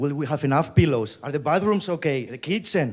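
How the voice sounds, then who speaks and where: A man speaks with a Spanish accent. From Spain. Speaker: company employee, event host. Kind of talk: conference keynote. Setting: stage with audience.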